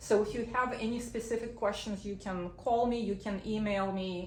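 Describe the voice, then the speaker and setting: A woman at a fairly high pitch with fairly even intonation and a moderate pace, amid noticeable background noise and audible room echo. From Belarus. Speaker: immigration lawyer. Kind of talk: legal information talk via interpreter. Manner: short sentences, paced for translation.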